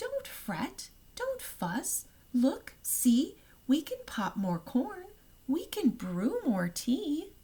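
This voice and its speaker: In a put-on character voice, a female-sounding speaker squeaks along at a very slow pace and a high pitch. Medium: read story.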